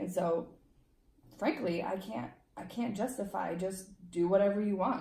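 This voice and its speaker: Dark, mellow tone with vocal fry, lively intonation and long, frequent pauses. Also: woman, medium pitch for a woman, moderate pace. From Romania, moved to US at eight. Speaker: legal immigrant interviewee. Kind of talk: casual interview.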